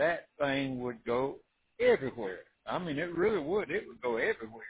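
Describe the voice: A man speaks at a moderate pace and a medium pitch, his voice husky with a rough edge and swinging widely in pitch.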